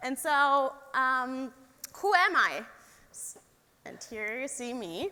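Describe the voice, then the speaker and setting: A woman's high, raised and projected voice in a German accent, very slow with long, frequent pauses, lively intonation and big swings in loudness. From Germany, Stuttgart area. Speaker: engineer. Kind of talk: talk to young audience.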